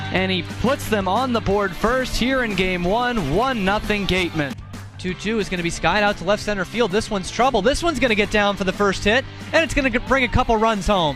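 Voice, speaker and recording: Excited and energetic, a man with a high pitch talks at a moderate pace with lively intonation over music in the background. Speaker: sports broadcaster. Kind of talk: live play-by-play sports call. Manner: excited, energetic.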